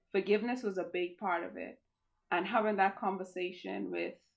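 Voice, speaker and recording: Her medium-pitched voice has vocal fry throughout as the woman speaks. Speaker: cancer survivor and advocate. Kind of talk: interview. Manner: loud; animated.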